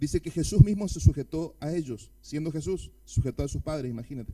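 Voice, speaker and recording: This man has a dark, mellow tone and ordinary pitch variation. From Argentina. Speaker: pastor. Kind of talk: sermon. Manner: fast.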